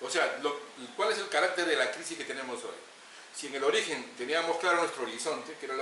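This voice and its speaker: A man rattles off his words very fast, with audible room echo and noticeable background noise in the recording. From Peru, Lima (Villa El Salvador since age 14). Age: 60s. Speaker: community leader and political activist. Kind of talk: interview.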